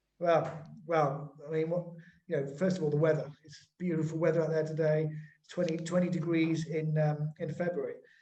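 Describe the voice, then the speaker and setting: In an English accent, a man speaks at a moderate pace with a fairly high pitch, a dark, mellow tone, monotone, flat intonation and big swings in loudness. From England. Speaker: webinar host. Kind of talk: webinar conversation.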